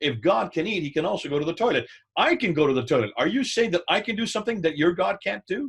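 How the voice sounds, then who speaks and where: Speaking at a very fast pace, a man uses a high pitch, very wide pitch swings and an animated tone. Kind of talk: teaching talk with anecdote.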